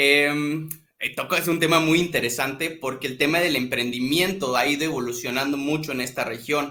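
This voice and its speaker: This man's fairly high pitch and bright, sharp tone come at a moderate pace with fairly even intonation. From northern Mexico, Tamaulipas. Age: 20s. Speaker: social projects consultant. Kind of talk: interview.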